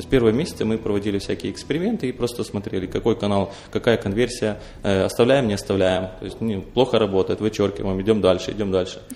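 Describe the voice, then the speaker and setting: This man talks at a very fast pace in a fairly low pitch, his dark, mellow tone carried on fairly even intonation. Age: 20s. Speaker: entrepreneur. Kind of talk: interview. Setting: studio.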